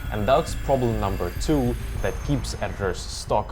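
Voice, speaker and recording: A man with a slight non-native accent and a confident tone at a moderate pace, with audible room echo and music in the background. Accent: slight non-native, barely noticeable. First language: not English. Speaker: video editor and online coach. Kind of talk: scripted tutorial. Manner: confident, persuasive.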